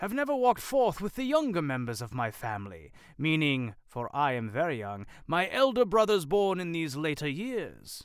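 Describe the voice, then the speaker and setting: In a put-on character voice with very wide pitch swings, the speaker goes at a moderate pace on a very clean recording with a silent background. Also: man, fairly high pitch for a man. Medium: read story. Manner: hearty, warm, booming.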